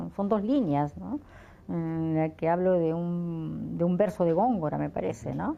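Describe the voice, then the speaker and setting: A woman is speaking. She has a Peruvian accent. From Lima, Peru. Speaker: writer and poet. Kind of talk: interview answer.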